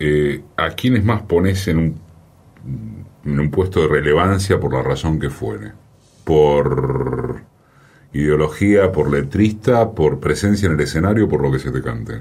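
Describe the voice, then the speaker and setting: A man with a Rioplatense accent speaks at a fairly slow pace in a very deep, low pitch with vocal fry. Long, frequent pauses break up his speech. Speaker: radio host. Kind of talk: interview.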